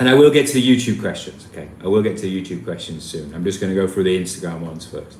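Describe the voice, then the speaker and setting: Over noticeable background noise, a man with a very deep, low voice and a Yorkshire accent talks at a very fast pace with lively intonation. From Yorkshire, northern England. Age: 30s. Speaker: travel vlogger. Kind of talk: live stream Q&A. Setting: live stream. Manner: casual, hesitant with repetitions.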